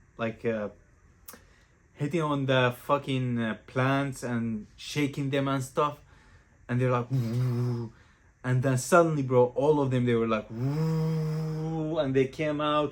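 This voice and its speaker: At a very slow pace, a man talks in a medium pitch with fairly even intonation. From Greece (Crete), Syrian parents. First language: not English (Greek or Arabic). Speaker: vlogger. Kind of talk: casual storytelling to camera. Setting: at home. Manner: casual, slangy.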